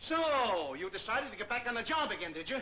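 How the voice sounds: A man does a put-on character voice, high-pitched, with a bright, sharp tone and big pitch swings. He talks at a fairly quick pace, with audible room echo.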